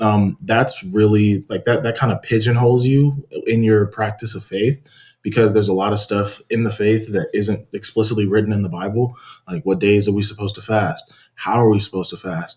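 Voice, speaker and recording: A man's calm, somewhat breathy voice, fairly low in pitch, fairly quick, with fairly even intonation. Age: 20s. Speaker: podcast guest, religious debater. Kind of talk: casual interview chat.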